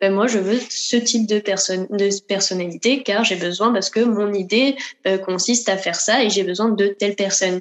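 With an unremarkable speaking voice, a woman talks at medium pitch and a moderate pace, her intonation fairly even and her loudness very even. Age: 20s. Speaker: dancer. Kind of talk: interview.

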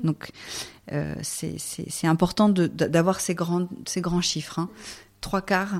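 A woman with a fairly low pitch talks at a fairly slow pace with fairly even intonation. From rural France. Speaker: sustainability network director. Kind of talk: interview. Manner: halting.

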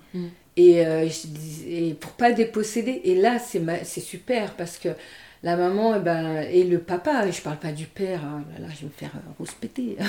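Pitched fairly low, a woman speaks at a fairly slow pace in a dark, mellow tone. Her loudness swings widely while her pitch varies in an ordinary way. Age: 50s. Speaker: nurse and energy healer. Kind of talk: interview conversation. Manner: hesitant, many fillers.

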